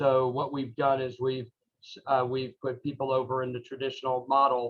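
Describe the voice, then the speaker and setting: Speaking at a moderate pace and medium pitch, a man has an unremarkable speaking voice. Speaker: Rotary club member and speaker. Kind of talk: talk to a club meeting. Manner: many fillers and restarts.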